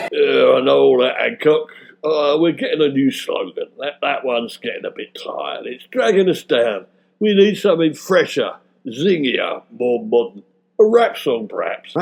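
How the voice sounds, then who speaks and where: A man in a put-on character voice at a moderate pace. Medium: audio drama. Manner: blunt, dismissive.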